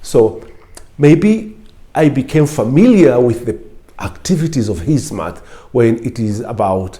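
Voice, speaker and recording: A somewhat breathy man with an East African accent, dark and mellow in tone, with very wide pitch swings and long, frequent pauses. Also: medium pitch for a man, fairly slow pace. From Kenya, Lamu coast. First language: Swahili. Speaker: former lecturer and political official. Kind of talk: interview talk.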